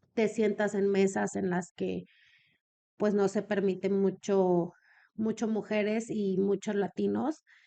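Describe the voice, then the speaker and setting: A woman's medium-pitched, dark, mellow voice at a very slow pace, monotone and flat, against a quiet background. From Mexico, Comarca Lagunera. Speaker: businesswoman in elder care. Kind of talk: podcast interview.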